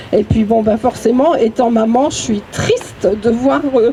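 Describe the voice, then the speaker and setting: Over noticeable background noise, the speech moves at a very slow pace with ordinary pitch variation. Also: woman. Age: 60s. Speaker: activist speaking at memorial. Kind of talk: public speech at vigil. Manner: halting.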